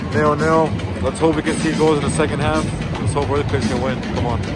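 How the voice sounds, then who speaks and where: Loud music plays behind a man talking at a fairly quick pace, the sound dry with no echo. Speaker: fan vlogger. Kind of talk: casual live match commentary. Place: stadium. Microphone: phone near.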